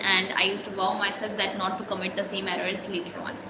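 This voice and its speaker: A woman with an Indian accent, plus audible room echo and noticeable background noise. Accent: Indian English (Hindi speaker). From India, Jhansi area. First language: Hindi. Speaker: English-learning vlogger. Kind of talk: motivational talk, spoken practice monologue. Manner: hesitant, with fillers and restarts.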